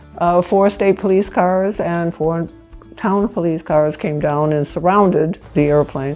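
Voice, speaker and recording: Over music in the background, a woman speaks at a fairly slow pace, her pitch fairly low and its variation ordinary. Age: 80s+. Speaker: pilot. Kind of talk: interview storytelling. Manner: casual, halting with fillers.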